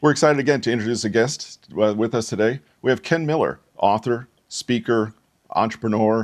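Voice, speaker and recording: The recording is very clean, with a silent background. A man with a plain, everyday voice speaks fairly quickly at a fairly low pitch, with ordinary pitch variation. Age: 60s. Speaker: podcast host, social skills coach. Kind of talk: podcast interview.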